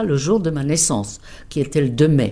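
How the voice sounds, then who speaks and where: Here a woman talks with a Czech accent. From Czech Republic, South Bohemia. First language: Czech (speaking French). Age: 70s. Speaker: interpreter, emigrant interviewee. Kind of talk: life story interview.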